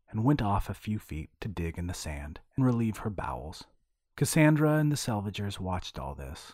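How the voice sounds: Natural reading voice against quiet surroundings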